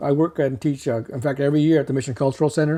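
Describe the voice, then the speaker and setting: Speaking at a very fast pace, a man has a fairly high pitch. His tone is dark and mellow. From Mexico. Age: 60s. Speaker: artist and art teacher. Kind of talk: interview. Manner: halting.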